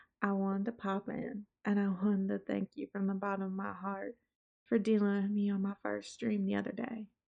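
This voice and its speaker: The speaker has a Southern accent. The intonation is fairly even. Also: woman, medium pitch for a woman, fairly quick pace. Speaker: VTuber streamer. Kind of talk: casual vlog talk to viewers. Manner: laid back.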